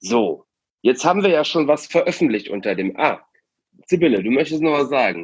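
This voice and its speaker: Vocal fry runs through a man's fairly high-pitched voice. He talks at a moderate pace with very wide pitch swings. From Aachen, Germany. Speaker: youth arts programme leader, podcast host. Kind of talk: casual podcast chat.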